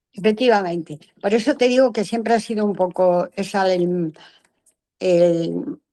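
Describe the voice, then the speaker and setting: A woman speaks at a fairly slow pace and medium pitch, her dark, mellow tone carrying ordinary pitch variation. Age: 80s+. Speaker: content creator. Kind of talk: interview. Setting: video call. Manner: animated.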